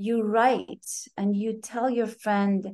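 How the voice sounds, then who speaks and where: Flat, monotone speech in a Persian accent. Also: woman. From Iran, then Europe and US as teen. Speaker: yoga and Ayurveda practitioner. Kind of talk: casual interview.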